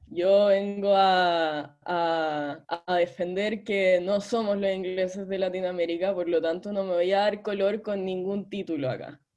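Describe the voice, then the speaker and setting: A woman with a Chilean accent speaks at medium pitch and a fairly slow pace, with hardly any pauses and fairly even intonation. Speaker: debate audience speaker. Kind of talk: humorous debate speech.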